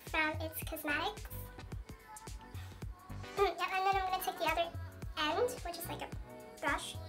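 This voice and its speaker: Over clear background music, a woman with an extremely high pitch speaks with fairly even intonation. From China. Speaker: beauty vlogger. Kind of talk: casual makeup tutorial talk to camera. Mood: relaxed, light-hearted. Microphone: phone near.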